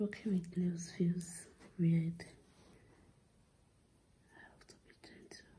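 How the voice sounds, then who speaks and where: A soft-spoken, somewhat breathy woman whispering at a very slow pace, with long, frequent pauses and big swings in loudness. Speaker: ASMR creator. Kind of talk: ASMR whisper video. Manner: whispered, soft-spoken.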